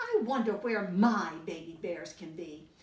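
A woman's put-on character voice at medium pitch, moderate in pace, with a slight echo. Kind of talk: bedtime story. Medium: read story. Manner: warm, gentle. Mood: teasing game.

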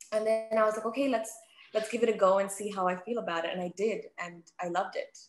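A woman's fairly high-pitched voice with an Australian accent, very fast and fairly even in intonation, with music in the background. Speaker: sports TV presenter. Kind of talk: casual interview. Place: home room. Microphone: video call.

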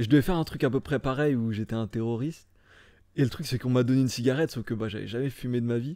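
Against a quiet background, a man with a dark, mellow tone and medium pitch talks at a very fast pace, the sound dry with no echo. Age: 20s. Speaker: stuntman; podcast guest. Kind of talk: casual chat. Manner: deadpan. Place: home room. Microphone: studio mic.

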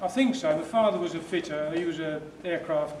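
Loud background noise fills the recording as a man talks fairly quickly. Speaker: retired engineer. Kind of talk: interview answering student questions. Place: hall. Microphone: camera far.

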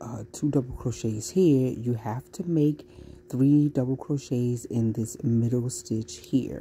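A woman speaks at a fairly slow pace in an extremely low voice with a dark, mellow tone. Her pitch variation is ordinary.

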